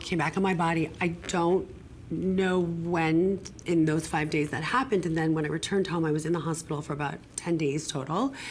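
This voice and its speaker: The woman's intonation stays fairly even. She keeps to a moderate pace. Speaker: acupuncturist and integrative medicine practitioner. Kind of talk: TV interview, personal story. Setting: TV studio.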